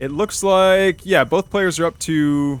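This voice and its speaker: A man with an American accent talks at a very slow pace, with ordinary pitch variation. Music plays in the background. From United States. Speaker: esports tournament caster. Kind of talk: game commentary. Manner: casual, excitable.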